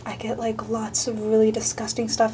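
A woman whispers at a moderate pace as noticeable background noise carries on around her. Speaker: YouTuber. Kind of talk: comedic parody ASMR video. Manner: whispered. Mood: jokey, self-mocking. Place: bathroom. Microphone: phone near.

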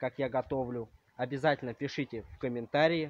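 Speaking at a fairly slow pace, a man keeps a fairly even intonation in a dry sound with no echo. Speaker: vlogger. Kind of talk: casual vlog chat. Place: garden. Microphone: phone near.

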